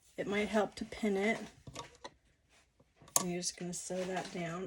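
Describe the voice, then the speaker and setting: A woman's medium-pitched voice, fairly slow with fairly even intonation, against noticeable background noise. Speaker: quilting instructor. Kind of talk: tutorial. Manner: casual, conversational.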